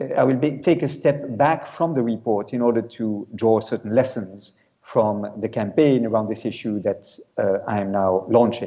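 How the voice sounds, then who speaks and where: A man's medium-pitched voice with a French accent and a dark, mellow tone. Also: ordinary pitch variation, moderate pace. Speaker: UN special rapporteur, law professor. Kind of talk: conference talk. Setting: video call to conference. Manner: hesitant, many fillers.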